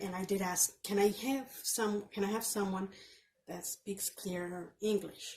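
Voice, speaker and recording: A woman speaks at a medium pitch and a very slow pace. Her intonation stays fairly even. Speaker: vlogger with chronic illness. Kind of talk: casual vlog rant. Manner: halting, repetitive.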